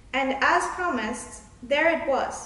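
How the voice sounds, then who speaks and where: High-pitched female speech under noticeable background noise. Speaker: children's book author. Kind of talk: children's book reading, storytelling.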